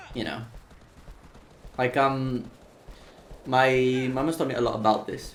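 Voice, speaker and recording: At a medium pitch, a man speaks while noticeable background noise carries on. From Seville, southern Spain. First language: Spanish. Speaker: speedrunner streamer. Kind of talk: casual chat. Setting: live stream. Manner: animated.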